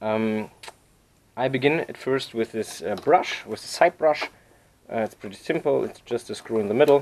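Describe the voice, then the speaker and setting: The speaker is a man with a non-native accent. His pitch is fairly low and varies in an ordinary way. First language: not English. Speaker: repair tutorial maker. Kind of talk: tutorial. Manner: halting, many fillers.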